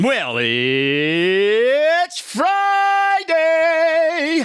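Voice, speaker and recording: Someone performs a put-on character voice at a high pitch. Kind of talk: cheesy 1960s game show. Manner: exaggerated, cheesy.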